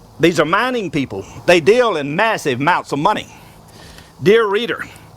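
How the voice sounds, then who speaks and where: A man with an American accent speaks at a high pitch and a moderate pace, his intonation lively. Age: 70s. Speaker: inventor.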